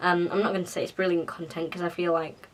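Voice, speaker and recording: Amid noticeable background noise, a woman talks in a fairly low pitch with monotone, flat intonation. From England. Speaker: YouTuber. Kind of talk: casual vlog talk. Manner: casual, filler-heavy.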